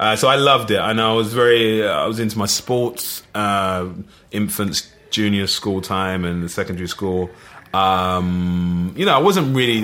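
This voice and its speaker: Noticeable background noise sits behind a man speaking with an East London accent in a fairly low pitch. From East London (Plaistow). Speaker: actor. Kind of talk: casual chat.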